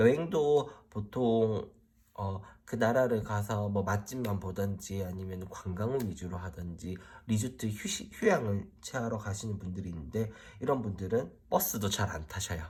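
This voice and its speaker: Somewhat breathy and fairly low in pitch, a man talks at a fairly slow pace with ordinary pitch variation. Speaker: tarot reader. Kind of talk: tarot reading explainer to camera. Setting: solo recording in front of camera. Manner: speeds up when focused.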